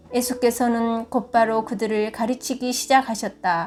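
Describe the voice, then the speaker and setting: The words come out very slowly. Behind them, music is playing. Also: woman. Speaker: church deaconess. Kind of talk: scripture reading.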